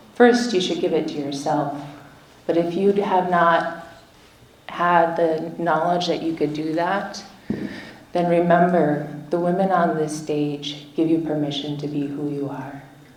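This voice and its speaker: At a fairly slow pace, a woman with a fairly low pitch speaks with audible room echo and noticeable background noise. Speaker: activist and traditional healer. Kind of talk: rally speech. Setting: stage with audience. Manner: loud.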